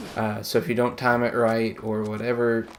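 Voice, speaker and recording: There is noticeable background noise behind this man. His medium-pitched voice has a monotone, flat intonation. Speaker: gaming YouTuber. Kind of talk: gameplay commentary. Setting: recording while playing a video game. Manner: halting, distracted while playing.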